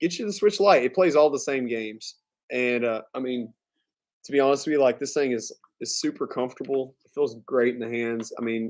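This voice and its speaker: This man speaks in a Southern US accent. His pitch is medium, with ordinary pitch variation. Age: 30s. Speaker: gaming streamer. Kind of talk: casual live stream chat. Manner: casual, filler-heavy.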